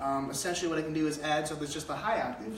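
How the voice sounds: Vocal fry runs through a man's fairly high voice, heard with audible room echo.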